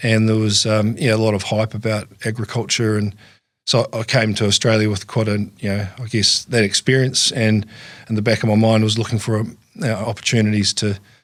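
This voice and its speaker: In a very clean recording with a silent background, a man with a New Zealand accent speaks at a fairly quick pace in a fairly low pitch and a monotone, flat intonation. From New Zealand, lower South Island. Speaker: farm business manager. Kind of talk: interview. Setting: studio. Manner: halting, many fillers and repeats.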